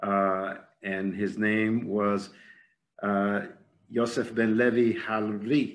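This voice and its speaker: A man speaks very slowly at a fairly low pitch, with long, frequent pauses. His intonation is fairly even, and audible room echo surrounds the voice. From Cuba. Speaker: arts executive. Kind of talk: lecture. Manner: halting.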